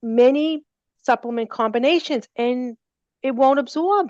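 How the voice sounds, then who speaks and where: A woman with a high voice and a Boston accent speaks in a dry, close recording with no echo and a quiet background. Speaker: natural remedy company representative. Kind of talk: seminar Q&A.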